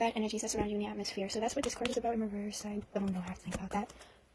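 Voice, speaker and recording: Against noticeable background noise, a woman speaks at a very fast pace in a fairly high pitch with monotone, flat intonation. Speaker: tarot reader. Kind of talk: tarot reading monologue. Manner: halting, repeats words; casual, filler-heavy.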